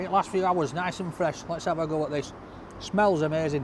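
Against noticeable background noise, a man speaks at a moderate pace with fairly even intonation in a dry sound with no echo. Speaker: food reviewer. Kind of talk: casual food review vlog. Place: street. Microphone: camera far.

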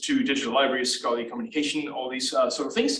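A man talks at a very fast pace. Room echo is audible around him. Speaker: presenter. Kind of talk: lecture. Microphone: video call.

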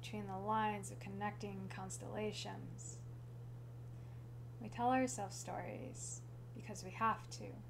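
Long, frequent pauses over noticeable background noise. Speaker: slam poet. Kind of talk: slam poetry performance. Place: home room. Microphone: camera far.

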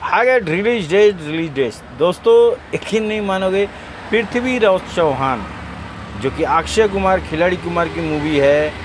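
Against noticeable background noise, a man speaks at a very slow pace with lively intonation in a dry sound with no echo. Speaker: auto-rickshaw driver. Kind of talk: casual talk to camera. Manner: excited. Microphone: phone near.

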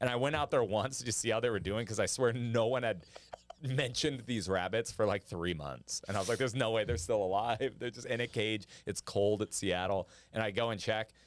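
A man talks at a fairly quick pace with ordinary pitch variation in a dry sound with no echo. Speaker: comedian podcast host. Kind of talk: casual comedy banter. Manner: animated, joking. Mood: playful, joking. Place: studio. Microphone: studio mic.

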